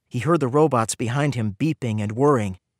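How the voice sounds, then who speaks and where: In an unremarkable speaking voice, a man talks at a medium pitch and moderate pace with ordinary pitch variation, on a very clean, dry, close recording with a silent background and no echo. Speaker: audiobook narrator. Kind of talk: audiobook narration.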